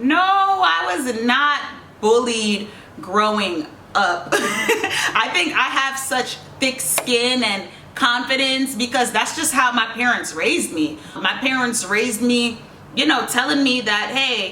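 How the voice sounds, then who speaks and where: In a slight Jamaican accent, a woman with a high pitch and a stern tone speaks at a very slow pace with lively intonation and very even loudness, amid audible room echo and noticeable background noise. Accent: slight Jamaican tinge. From New York (Queens), Jamaican family. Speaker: YouTuber, reality TV personality. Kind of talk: casual Q&A vlog. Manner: stern-sounding tone.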